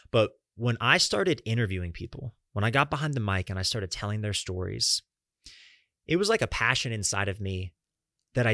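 A man with an American accent and a bright, sharp tone, fairly low in pitch, at a fairly quick pace with ordinary pitch variation and long, frequent pauses, dry and close with no echo against a quiet background. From US South, Florida and Atlanta, Georgia. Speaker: podcast host. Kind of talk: solo monologue.

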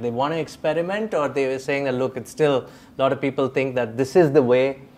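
Speaking at a fairly quick pace, this is a plain, everyday voice. Its pitch varies in an ordinary way. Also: man. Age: 40s. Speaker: podcast host and editor. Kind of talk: interview.

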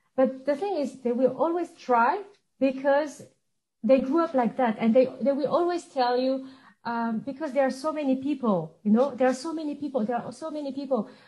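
In a French accent, a woman speaks at a moderate pace, high-pitched with ordinary pitch variation and a dark, mellow tone. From suburb of Paris, France. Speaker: international business professional. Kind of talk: casual interview chat. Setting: video call from Geneva.

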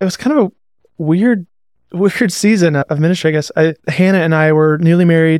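With an American accent, a man with a fairly high pitch and ordinary pitch variation talks fairly quickly in a normal speaking voice, the sound dry and close with no echo. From US Pacific Northwest (Seattle and Montana). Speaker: worship pastor. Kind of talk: casual chat.

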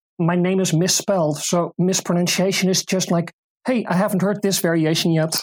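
Fairly low-pitched female speech in a Dutch accent, monotone and flat, with very even loudness. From Netherlands, Utrecht province. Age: 40s. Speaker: disc golf player and volunteer. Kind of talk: interview.

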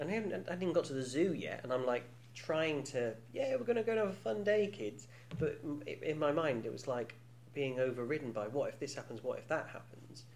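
A man speaks at a fairly high pitch and a fairly quick pace. His intonation is lively. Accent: British. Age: 40s. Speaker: podcast host. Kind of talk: casual chat. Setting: studio. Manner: joking, teasing.

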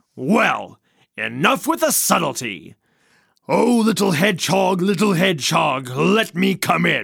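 A man's raspy, put-on character voice, high-pitched, at a very slow pace. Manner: sly, greedy, boastful.

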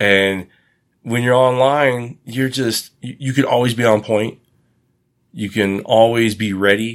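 Speaking in an ordinary speaking voice with an American accent, a man talks at a medium pitch and fairly slow pace. His intonation is fairly even, and the recording is very clean with a silent background. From United States. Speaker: podcast guest discussing online dating. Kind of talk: casual chat.

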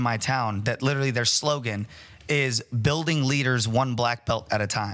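A man talks at a moderate pace in an ordinary speaking voice. His pitch is medium and his intonation fairly even. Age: 30s. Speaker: martial arts gym owner and fight promoter. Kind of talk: casual chat.

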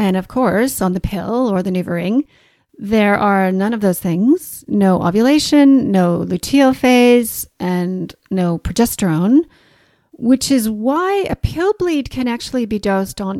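Her tone dark and mellow, a woman with a fairly high pitch speaks at a fairly slow pace with lively intonation, the sound dry and close with no echo. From Canada. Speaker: naturopathic doctor and podcast host. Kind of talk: educational podcast monologue. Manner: clear, explanatory, friendly.

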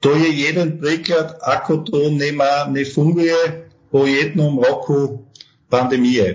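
A man speaks at a very slow pace, somewhat breathy, with a fairly high pitch and ordinary pitch variation. His loudness stays very even, and audible room echo is present. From Austria. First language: German (speaking Slovak). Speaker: tax advisory firm partner. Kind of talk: interview. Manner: halting, hesitant.

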